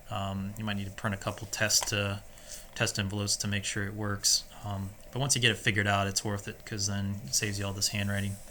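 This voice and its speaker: Speaking at a very fast pace, a man with a fairly low pitch delivers a bright, sharp tone in a monotone, flat intonation. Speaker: software tutorial presenter. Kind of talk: screen-recorded tutorial. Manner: casual, halting with many fillers.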